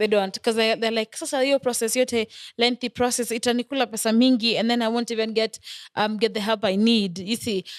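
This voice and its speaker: A woman with an East African accent, fairly high pitch and monotone, flat intonation at a fairly quick pace, in a dry, close sound with no echo and a very clean, silent background. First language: Swahili. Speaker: podcast host. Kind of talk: casual chat.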